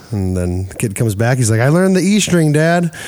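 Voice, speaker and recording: A fairly quick voice with a Midwestern American accent, very wide pitch swings, and noticeable background noise. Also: man. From US Midwest. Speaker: podcast host. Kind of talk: casual interview. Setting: recording studio.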